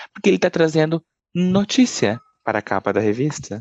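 Against a quiet background, a man talks at a fairly quick pace with lively intonation in an unremarkable speaking voice, the sound dry and close with no echo. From Brazil, southern Minas Gerais. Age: 30s. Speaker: journalist. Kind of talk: interview.

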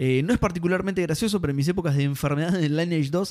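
This man talks at a very fast pace with a Rioplatense accent. His pitch sits high. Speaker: gaming podcast host. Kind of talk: casual chat.

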